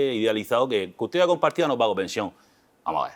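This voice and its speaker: In a Murcian accent, a man speaks with ordinary pitch variation on a very clean recording with a silent background. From Murcia, Spain. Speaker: family lawyer. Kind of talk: interview. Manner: casual, colloquial.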